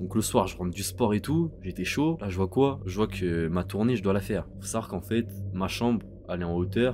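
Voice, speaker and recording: The man's voice is very deep and low. He speaks at a fairly quick pace with ordinary pitch variation. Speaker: YouTuber. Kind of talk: storytime. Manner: calmer voice than usual; halting, many fillers.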